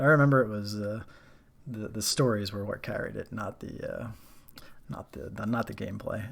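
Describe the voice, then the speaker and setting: A soft-spoken man with a fairly low voice talks at a moderate pace with ordinary pitch variation and long, frequent pauses. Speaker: streamer. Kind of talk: casual chat. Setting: live stream.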